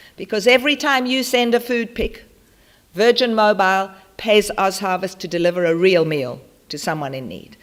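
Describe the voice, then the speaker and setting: The speaker has a South African accent and an animated tone with very wide pitch swings. The pace is fairly quick. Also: woman. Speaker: charity founder. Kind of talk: conference talk.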